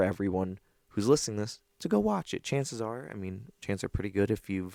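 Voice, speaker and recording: Recorded very cleanly against a silent background, a man's fairly low voice has a dry, close sound with no echo. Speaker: TV show reviewer. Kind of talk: solo review commentary. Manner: fast; casual with fillers.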